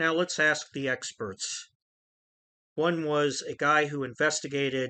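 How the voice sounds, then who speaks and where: Against a quiet background, a man with a fairly high pitch and a bright, sharp tone speaks at a fairly slow pace with fairly even intonation. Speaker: true crime podcaster. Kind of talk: true crime commentary podcast.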